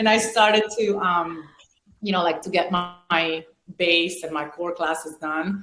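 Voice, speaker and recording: Over music in the background, a woman with a fairly low pitch speaks at a fairly slow pace with fairly even intonation. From Venezuela and Italy. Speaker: former pro volleyball player and business owner. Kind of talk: podcast interview. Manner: hesitant, many fillers.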